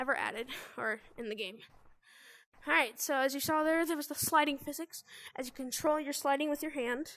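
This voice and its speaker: A woman with a high pitch and a bright, sharp tone projects her raised voice at a fairly quick pace. The background is quiet. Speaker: gaming youtuber. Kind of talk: gameplay tutorial. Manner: casual, hesitant with fillers.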